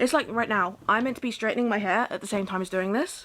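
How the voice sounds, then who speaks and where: A woman with a British accent talks at a very fast pace in a fairly high pitch with ordinary pitch variation, with noticeable background noise behind her. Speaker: vlogger. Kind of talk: casual monologue.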